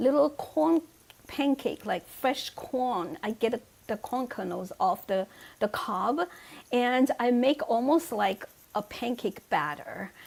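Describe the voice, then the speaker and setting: In a Chinese accent, a woman speaks very slowly at a high pitch, her pitch swinging very widely. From China. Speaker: author. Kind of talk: casual chat. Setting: video call.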